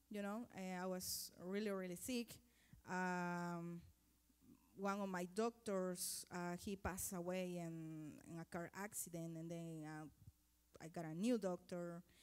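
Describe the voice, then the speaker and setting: Fairly slow and with fairly even intonation, the speaker talks with a Spanish accent. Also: woman, fairly low pitch for a woman. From Guatemala. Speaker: mission volunteer coordinator. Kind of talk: testimony. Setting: church. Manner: halting.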